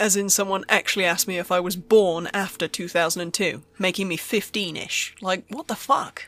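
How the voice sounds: Fairly even intonation in a natural reading voice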